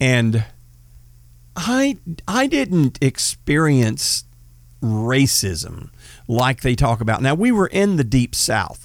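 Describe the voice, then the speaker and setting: Very slow, lively speech in an American accent, with long, frequent pauses, very even loudness, and a very clean recording with a silent background. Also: man, medium pitch for a man. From Northeast Texas. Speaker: podcast host, former police officer. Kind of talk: casual political talk.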